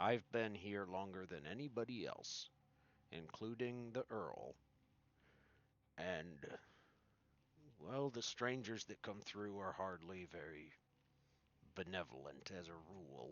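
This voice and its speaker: A man uses a put-on character voice, raspy and very deep and low. He goes at a fairly slow pace with long, frequent pauses. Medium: actual play. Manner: polite, somewhat hesitant.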